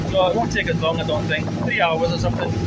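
Loud noise runs behind the speech. The speaker is a man. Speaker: travel vlogger. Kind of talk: casual vlog chat. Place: boat. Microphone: phone near.

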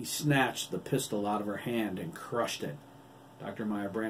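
The passage is read aloud in a natural voice, its pitch varying in an ordinary way.

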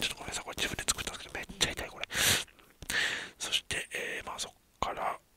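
A man's voice with a dry sound, no echo, and loud background noise. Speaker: anime reaction streamer. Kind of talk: casual anime episode commentary. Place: home room. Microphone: earbuds.

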